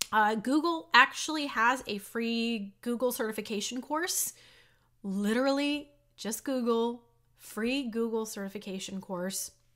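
With an American accent, a woman talks at a fairly slow pace. Her bright, sharp tone sits at a fairly high pitch with ordinary pitch variation. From Texas. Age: 40s. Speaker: YouTuber. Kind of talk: vlog monologue. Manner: casual, chatty.

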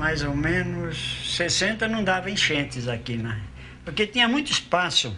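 A man's high-pitched voice with very wide pitch swings at a fairly slow pace, amid noticeable background noise. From Brazil, São Paulo. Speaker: longtime resident. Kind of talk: casual chat. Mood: relaxed, nostalgic storytelling. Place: home room.

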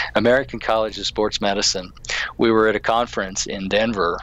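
A moderate pace in a dry sound with no echo. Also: man. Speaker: guest. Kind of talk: interview answer. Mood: enthusiastic, smiling. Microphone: video call.

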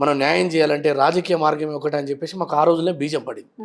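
With a Telangana accent, a man talks at a fairly high pitch and keeps his intonation fairly even. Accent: Telangana Telugu. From Telangana, Nalgonda district. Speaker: politician. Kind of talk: interview.

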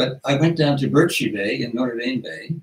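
Speaking at a moderate pace, a man with a fairly high pitch shows vocal fry. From Newfoundland, Canada. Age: 80s+. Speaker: retired family physician and author. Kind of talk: interview answer. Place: home room.

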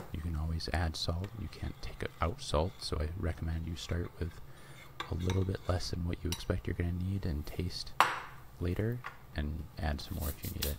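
Loud background noise surrounds a man with a very deep, low voice speaking at a moderate pace. The sound is dry with no echo, and his pitch varies in an ordinary way. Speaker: ASMR cooking channel host. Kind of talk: cooking tutorial narration. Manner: softly spoken, whispery. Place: kitchen.

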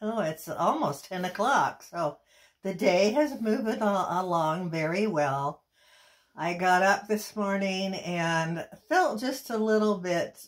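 A woman talks at a very slow pace, and the background is quiet. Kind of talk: personal video message. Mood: emotional, grateful. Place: home room. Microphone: phone near.

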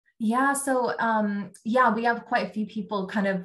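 Ordinary pitch variation at a moderate pace. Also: woman. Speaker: talent acquisition recruiter. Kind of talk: casual interview. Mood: friendly, relaxed. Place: home room. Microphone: video call.

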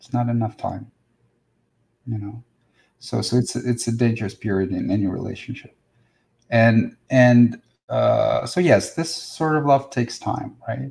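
With a Russian accent, a man speaks fairly slowly against a quiet background, leaving long, frequent pauses while his loudness swings widely. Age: 40s. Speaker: spiritual teacher. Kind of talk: live stream talk and Q&A. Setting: live video stream. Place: home room. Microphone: webcam.

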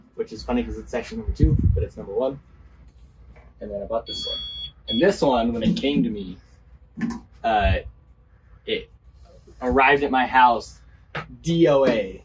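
Music plays in the background as the speech comes with long, frequent pauses and big swings in loudness. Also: man. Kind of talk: interview answer. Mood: relaxed, candid. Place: workshop. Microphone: phone near.

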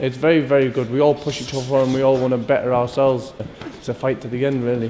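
In a Scottish accent, a man talks at a very fast pace with monotone, flat intonation over light background noise. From Scotland. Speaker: professional boxer. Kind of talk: interview answer. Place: gym.

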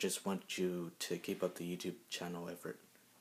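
Quiet and monotone with flat intonation, a man speaks at a very deep, low pitch. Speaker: YouTuber; vlogger. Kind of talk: casual vlog. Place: home room. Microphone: phone near.

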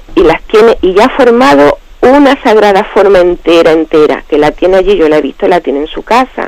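Delivered at a fairly quick pace with hardly any pauses, the speech shows very wide pitch swings against noticeable background noise. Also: woman, medium pitch for a woman. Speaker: radio caller. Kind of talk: question on a call-in show. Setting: phone call.

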